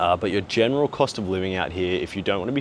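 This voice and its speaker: A man with a very deep, low pitch speaks at a fairly quick pace. He has an Australian accent. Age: 20s. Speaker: travel and business vlogger. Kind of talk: vlog monologue. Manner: frequent filler 'uh'.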